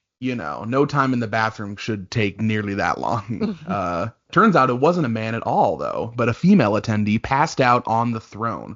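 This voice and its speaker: With an unremarkable speaking voice, a man talks at a moderate pace and medium pitch, hardly pausing at all. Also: lively intonation. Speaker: digital content coordinator. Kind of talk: podcast co-host reading and reacting to stories. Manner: casual, conversational.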